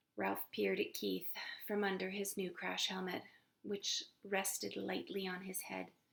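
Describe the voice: What's heard here is plain reading aloud.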